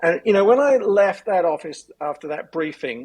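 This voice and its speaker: This voice has an American accent and moves at a moderate pace. Its pitch swings very widely. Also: man. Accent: English, some years in US. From England. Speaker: elder abuse lawyer, former prosecutor. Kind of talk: podcast interview.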